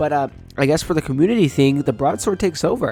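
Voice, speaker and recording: Music plays in the background. The speaking pace is fairly quick. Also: man. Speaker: gaming YouTuber. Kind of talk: casual gameplay commentary.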